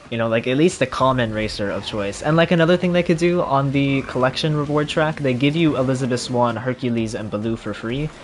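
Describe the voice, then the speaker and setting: A man with an American accent talks at a fairly quick pace with hardly any pauses, medium pitch, and ordinary pitch variation over noticeable background noise. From Florida. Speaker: gaming streamer. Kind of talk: casual gameplay livestream commentary. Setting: home livestream on console.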